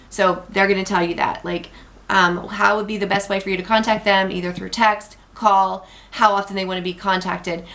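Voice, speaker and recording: A woman talks at a fairly quick pace and medium pitch in a flat, monotone way. Noticeable noise sits in the background. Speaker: sales director. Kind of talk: training tutorial. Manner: fast.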